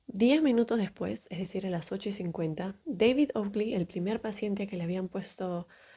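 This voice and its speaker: A woman's somewhat breathy voice has a dark, mellow tone, ordinary pitch variation and a moderate pace. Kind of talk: sleep story, storytelling narration of a true medical event.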